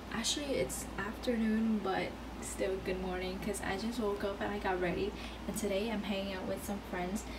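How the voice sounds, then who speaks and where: The talking moves at a moderate pace while noticeable background noise carries on behind it. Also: woman. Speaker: vlogger. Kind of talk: casual vlog chat. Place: home room. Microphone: phone near.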